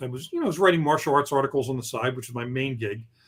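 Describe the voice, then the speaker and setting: There is ordinary pitch variation in this man's somewhat breathy voice. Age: 60s. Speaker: novelist. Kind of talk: interview. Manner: halting.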